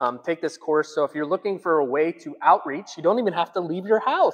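A man with a high pitch talks at a fairly quick pace, ordinary pitch variation, and a quiet background. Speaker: pastor. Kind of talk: church announcements, sermon style. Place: hall. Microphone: lapel.

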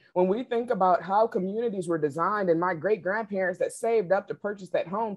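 A woman with a medium-pitched voice and ordinary pitch movement talks at a fairly quick clip. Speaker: equity consultant and real estate investor; panelist. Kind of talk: panel discussion. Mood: earnest, reflective storytelling. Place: home room. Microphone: video call.

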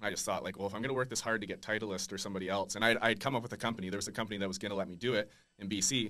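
A man with a Western Canadian accent speaks at a very fast pace with hardly any pauses, his pitch fairly low and his intonation fairly even. His tone is bright and sharp, and the background is quiet. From Langley, British Columbia, Canada; British Columbia, Canada. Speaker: golf apparel founder; podcast guest. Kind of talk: interview. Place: studio. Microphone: studio mic.

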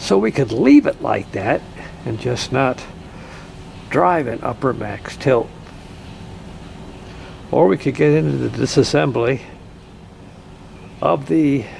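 A man at a fairly slow pace, with long, frequent pauses over light background noise. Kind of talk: tutorial. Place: car. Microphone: phone near.

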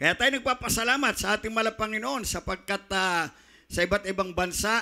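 Shouting in a raised, projected voice, a man speaks at a moderate pace with a bright, sharp tone and ordinary pitch variation over a quiet background. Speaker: preacher. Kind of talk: sermon. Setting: church. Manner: fervent, pulpit-style delivery with repeated 'minamahal' and shouted praises. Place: church. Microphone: handheld.

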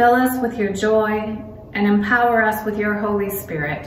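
A woman talks at a fairly slow pace with fairly even intonation. Light background noise and an audible room echo are present. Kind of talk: sermon. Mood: calm, reflective. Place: church. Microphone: phone near.

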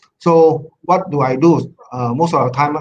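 The pace is fairly slow as a man speaks. Light background noise can be heard. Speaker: guest. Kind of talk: webinar presentation. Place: home room. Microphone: video call.

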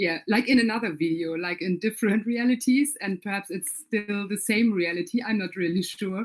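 A woman speaks at a moderate pace in a normal speaking voice, her pitch medium and its variation ordinary. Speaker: interviewer and event organizer. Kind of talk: interview.

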